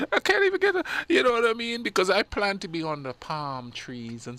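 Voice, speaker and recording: In a very clean recording with a silent background, a man speaks in a bright, sharp tone with very wide pitch swings. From Caribbean islands. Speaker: radio show co-host. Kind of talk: casual chat. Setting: live radio studio. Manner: animated.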